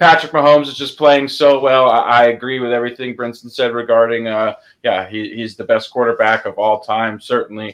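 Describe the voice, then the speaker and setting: Here a man with an unremarkable speaking voice and a medium pitch talks at a fairly quick pace with hardly any pauses, fairly even intonation and big swings in loudness. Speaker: sports betting analyst. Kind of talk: casual chat.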